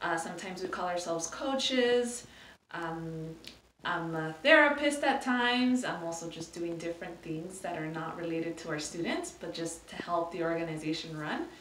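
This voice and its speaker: A woman with a fairly low pitch talks at a moderate pace. Her intonation is lively, and room echo is audible. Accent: Spanish. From California. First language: Spanish. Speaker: nonprofit program manager. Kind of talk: interview. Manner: hesitant, many fillers.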